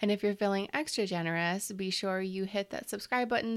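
A normal speaking voice at a fairly quick pace with ordinary pitch variation, in a very clean recording with a silent background. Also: woman. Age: 30s. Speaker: podcast host, business coach. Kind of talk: interview chat; scripted outro.

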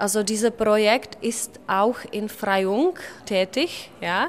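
In a Czech accent, a woman speaks at a very slow pace with a fairly high pitch. Her intonation is fairly even against noticeable background noise. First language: Czech (speaking German). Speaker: secondary school teacher. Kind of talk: interview.

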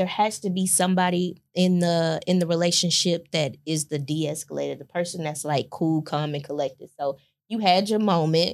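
A woman's ordinary speaking voice, fairly low in pitch, with fairly even intonation and hardly any pauses, on a very clean recording with a silent background. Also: moderate pace. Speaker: podcast host and businesswoman. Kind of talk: casual chat. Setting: video recording.

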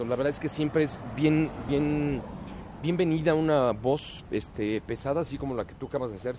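A man in a Mexico City accent, fairly high in pitch with ordinary pitch variation, at a fairly quick pace amid noticeable background noise. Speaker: voice-over announcer. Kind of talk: casual chat.

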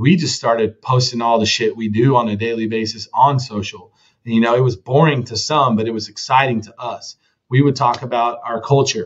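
Speaking with a Texan accent, a man keeps a medium pitch. His pace is moderate and his intonation fairly even. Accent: Texan American. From Texas, Dallas-Fort Worth area. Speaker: roofing company co-founder. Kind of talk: interview conversation.

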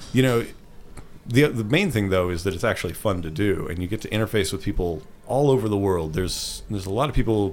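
Talking at a very fast pace, a man speaks with a fairly low pitch. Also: ordinary pitch variation. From Ottawa, Canada. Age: 30s. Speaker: freelance motion designer and instructor. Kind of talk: interview conversation.

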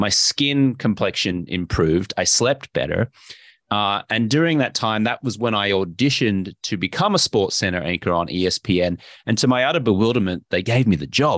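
With an Australian accent, the speaker uses lively intonation at a moderate pace, the sound dry and close with no echo against a quiet background. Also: man, fairly low pitch for a man. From Brisbane, Australia. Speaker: investor and health coach, former sports anchor. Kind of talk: casual interview chat.

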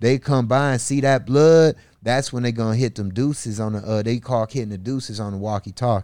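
A man speaks with an American accent at a medium pitch. His pace is fairly quick. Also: ordinary pitch variation. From US Midwest, north side of Milwaukee, Wisconsin. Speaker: rapper. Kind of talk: casual interview chat. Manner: animated.

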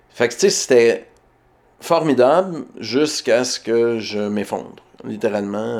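Speaking at a fairly slow pace, a man talks with a Quebec accent. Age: 40s. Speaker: writer. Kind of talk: interview. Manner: halting.

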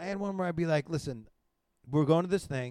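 A man's dark, mellow tone with lively intonation, in a dry, close sound with no echo. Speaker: podcast host; comedian. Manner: fast talker, speaks quietly.

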